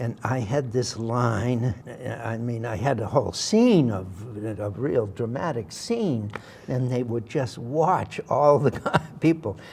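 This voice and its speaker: Over noticeable background noise, a man with a Massachusetts accent talks very slowly at medium pitch, with ordinary pitch variation. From Massachusetts, Worcester. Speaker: actor. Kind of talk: interview storytelling.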